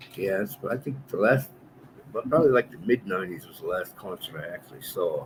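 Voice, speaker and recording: A man talks at a moderate speed, his pitch varying in an ordinary way, while noticeable background noise is heard. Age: 60s. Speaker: co-host. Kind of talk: casual chat.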